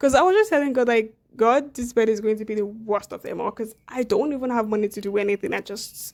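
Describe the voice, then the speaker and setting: A woman is speaking. Her pace is very fast. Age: 20s. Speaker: lifestyle vlogger. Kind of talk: casual sit-down talk to camera.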